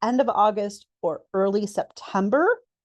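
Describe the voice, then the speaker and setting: Medium-pitched female voice with a dry, close sound and no echo. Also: quiet background. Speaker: webinar host and event organizer. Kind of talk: presentation webinar.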